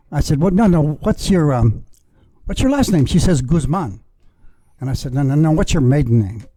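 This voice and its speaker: A man with an American accent talks at a moderate pace in a fairly high voice with lively intonation, taking long, frequent pauses while music plays in the background. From Texas, San Antonio. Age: 70s. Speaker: podcast guest, former sales representative. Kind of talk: casual chat, storytelling. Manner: halting, many fillers.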